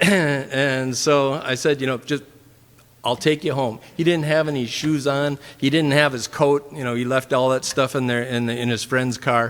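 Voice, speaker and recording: The speaker talks with a Minnesotan accent and fairly even intonation. Noticeable background noise runs under the voice. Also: man, medium pitch for a man, moderate pace. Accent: Minnesota. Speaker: church member. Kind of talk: testimony. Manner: halting, many fillers.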